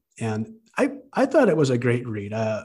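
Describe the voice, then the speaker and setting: At a moderate pace, a man with a medium pitch speaks in a somewhat breathy voice. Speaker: librarian, book club leader, commercial announcer. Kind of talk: casual conversational book discussion.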